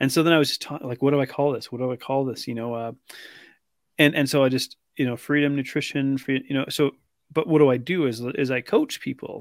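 An ordinary speaking voice from a man with a Canadian accent, fairly high in pitch, at a fairly quick pace with fairly even intonation, on a very clean recording with a silent background. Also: dry, close sound with no echo. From British Columbia, Canada. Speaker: weight loss coach. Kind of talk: interview.

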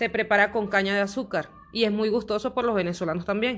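This is a woman with an unremarkable speaking voice. Her pitch is medium and her intonation fairly even. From Venezuela, Trujillo state. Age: 30s. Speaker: Venezuelan migrant, tattoo artist. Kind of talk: testimony and cultural presentation.

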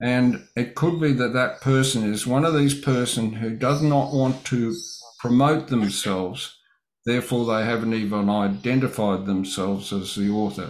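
A man speaks with an Australian accent. His pitch is medium, with ordinary variation. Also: moderate pace. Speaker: Bible study host. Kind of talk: livestream Bible study. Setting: livestream from home studio.

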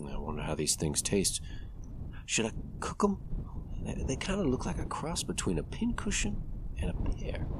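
Over loud background noise, a man puts on a gruff character voice. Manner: folksy, weary, talking to his horse.

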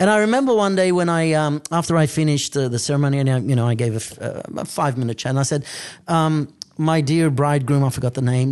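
This man has a medium pitch. He talks at a very fast pace. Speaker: priest. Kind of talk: sermon.

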